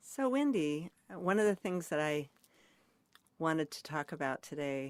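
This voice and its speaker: The speech moves at a fairly slow pace. The recording is very clean with a silent background, dry and close with no echo. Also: woman. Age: 70s. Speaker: interviewer. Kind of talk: oral history interview.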